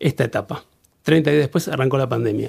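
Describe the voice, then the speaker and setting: This man's voice has a dark, mellow tone. Vocal fry runs through it. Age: 50s. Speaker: business owner. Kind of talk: casual interview.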